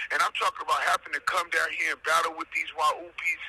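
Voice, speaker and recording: There is noticeable background noise as a man speaks in a dry, close sound with no echo. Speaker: defendant sharing his own case. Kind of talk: casual commentary. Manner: loud; animated.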